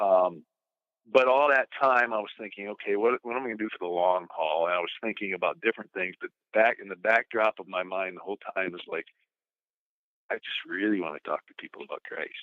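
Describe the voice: With a dry, close sound and no echo, a man speaks at a fairly quick pace in a low voice with ordinary pitch variation.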